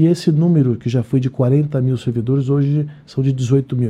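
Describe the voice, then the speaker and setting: A man's somewhat breathy voice, medium in pitch, with a dark, mellow tone. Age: 50s. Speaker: head of social security agency. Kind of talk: live radio interview.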